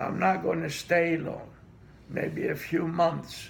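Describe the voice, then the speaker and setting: A man speaks at a very slow pace in a Greek accent. Room echo is audible. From Greece. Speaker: immigrant interviewee. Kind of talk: interview.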